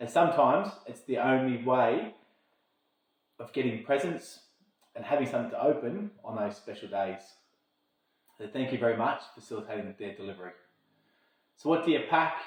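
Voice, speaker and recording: Talking at a fairly quick pace yet with long, frequent pauses, a man with an Australian accent uses medium pitch and lively intonation. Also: big swings in loudness. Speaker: army logistics officer. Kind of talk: informational talk to camera. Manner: fast; slurred words.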